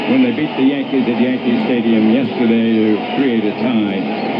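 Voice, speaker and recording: Music plays in the background. A man speaks at a moderate pace with lively intonation. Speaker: baseball radio play-by-play announcer. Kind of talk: live baseball play-by-play commentary.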